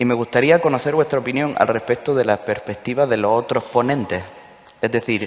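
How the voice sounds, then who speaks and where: A man's medium-pitched voice, fairly quick, with a slight Andalusian accent. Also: ordinary pitch variation. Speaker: session moderator at dental congress. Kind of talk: panel discussion moderation.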